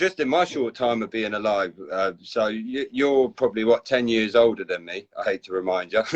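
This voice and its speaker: A man with a southern English accent, medium pitch, ordinary pitch variation and a moderate pace. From southern England, Basingstoke. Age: 30s. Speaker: community group host. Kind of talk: casual chat.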